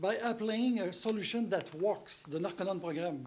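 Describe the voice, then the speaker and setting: The voice has an ordinary amount of pitch movement and a French accent. Some room echo can be heard. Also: man. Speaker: rehab center director. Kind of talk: speech. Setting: stage with audience.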